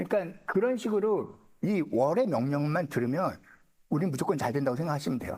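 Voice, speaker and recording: The man talks at a fairly high pitch with very wide pitch swings. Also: fairly quick pace. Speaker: saju fortune-telling lecturer. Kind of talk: lecture. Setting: seminar room with live audience. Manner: casual, conversational.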